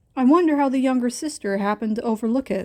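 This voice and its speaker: A woman's put-on character voice, very fast and high-pitched, with ordinary pitch variation. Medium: read story. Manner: casual, friendly.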